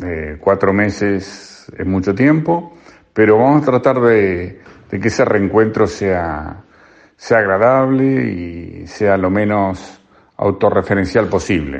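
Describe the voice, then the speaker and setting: A man at a very slow pace, fairly low in pitch, with lively intonation. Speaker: radio columnist. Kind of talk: radio commentary. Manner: halting, repeats words.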